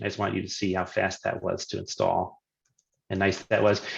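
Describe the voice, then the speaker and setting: A man speaks at a fairly quick pace. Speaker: software consultant presenting a webinar. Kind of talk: live technical demo webinar.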